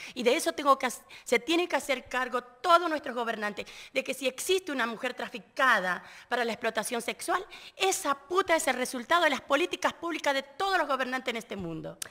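Against a quiet background, a woman with an Argentine accent projects her raised, high-pitched, bright and sharp voice at a fairly quick pace with lively intonation. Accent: Argentine Spanish (voseo). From Argentina. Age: 50s. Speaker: trafficking survivor and activist; interview guest. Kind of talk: interview testimony; interview answer. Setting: live radio at a conference venue. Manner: halting, with repetitions. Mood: earnest, indignant. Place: studio. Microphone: studio mic.

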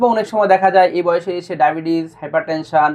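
A man's voice, high in pitch, with ordinary pitch variation. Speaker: doctor. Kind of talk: patient testimonial video.

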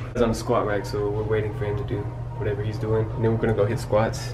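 A man talks in a fairly low pitch. Noticeable background noise runs behind him. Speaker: vlogger. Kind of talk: casual vlog chat. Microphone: phone near.

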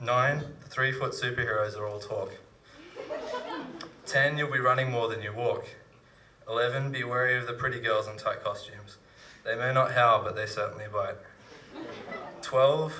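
Over light background noise, a man speaks at a moderate pace with long, frequent pauses. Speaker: slam poet. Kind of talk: poetry reading. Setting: live stage with audience. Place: stage. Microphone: handheld.

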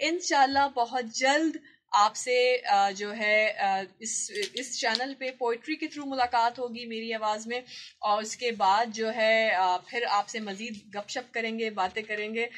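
Against light background noise, a woman has an unremarkable speaking voice, pitched fairly high with fairly even intonation. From Pakistan. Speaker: radio presenter and voice-over artist. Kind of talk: casual talk to camera. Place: office. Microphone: phone near.

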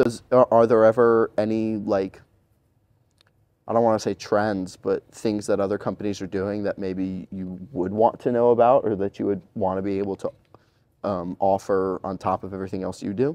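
A man speaks at a moderate pace in a fairly low, dark, mellow voice with fairly even intonation. The background is quiet and the sound dry with no echo. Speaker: podcast interviewer. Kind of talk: interview questions. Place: home room.

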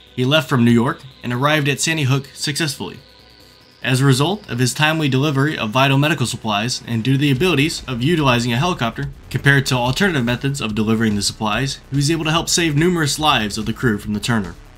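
Over music in the background, the voice goes at a very fast pace with ordinary pitch variation. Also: man. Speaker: history channel narrator. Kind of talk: documentary narration.

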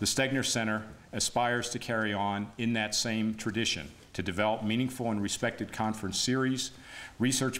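Over light background noise, an unremarkable speaking voice moves at a moderate pace with fairly even intonation. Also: man. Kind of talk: formal speech introduction. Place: hall. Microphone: podium.

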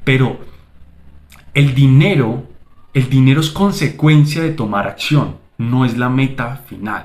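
A man's somewhat breathy, medium-pitched voice at a very slow pace, with long, frequent pauses and ordinary pitch variation. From Colombia. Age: 20s. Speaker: digital marketing agency owner, YouTuber; YouTuber. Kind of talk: motivational vlog monologue. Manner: animated. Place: home room. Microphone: phone near.

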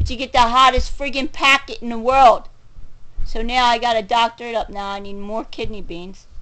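A woman's high-pitched voice, bright and sharp in tone, with ordinary pitch variation and big swings in loudness. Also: moderate pace. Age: 40s. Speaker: video blogger; home vlogger. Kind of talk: angry rant. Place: home room. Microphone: phone near.

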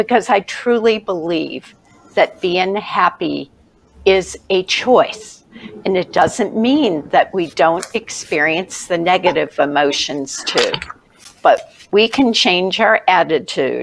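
Light background noise sits behind a woman speaking at a very slow pace with lively intonation. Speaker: show host, life coach. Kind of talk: show introduction monologue. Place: home room. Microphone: webcam.

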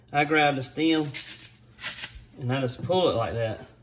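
A man talks at a moderate pace with ordinary pitch variation over light background noise. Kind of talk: cooking tutorial. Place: kitchen. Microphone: phone near.

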